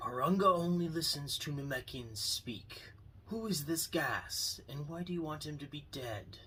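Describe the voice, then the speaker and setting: A man puts on a character voice at a fairly high pitch. Background noise is clear behind him. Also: moderate pace. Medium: read story. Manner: calm, measured.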